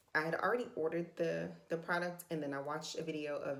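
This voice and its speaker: With audible room echo, a woman speaks fairly quickly at a very deep, low pitch, using ordinary pitch variation. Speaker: beauty and budget vlogger. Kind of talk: makeup tutorial. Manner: casual, hesitant with fillers.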